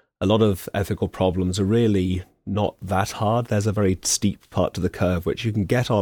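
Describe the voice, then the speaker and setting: An English accent, fairly even intonation and a fairly quick pace on a very clean recording with a silent background. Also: man. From England. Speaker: philosophy professor, former veterinary surgeon. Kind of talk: radio interview.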